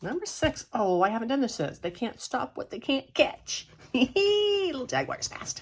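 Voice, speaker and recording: The woman's tone is upbeat, with an American accent. Her pitch swings very widely. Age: 60s. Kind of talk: casual talk to camera. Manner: upbeat, chatty.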